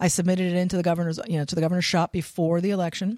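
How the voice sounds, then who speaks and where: In a very clean recording with a silent background, a woman with a fairly low pitch talks very fast in a monotone, flat intonation. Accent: American. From Pennsylvania. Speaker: state agency director. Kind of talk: interview.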